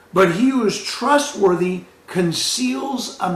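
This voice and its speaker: A man speaks at a very slow pace in a high voice with very wide pitch swings. The recording carries audible room echo and noticeable background noise. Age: 60s. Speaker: pastor. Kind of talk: sermon.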